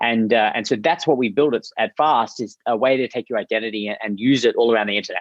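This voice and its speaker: A man at a medium pitch with an Australian accent, ordinary pitch variation and a very fast pace. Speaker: startup founder and CEO. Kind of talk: interview.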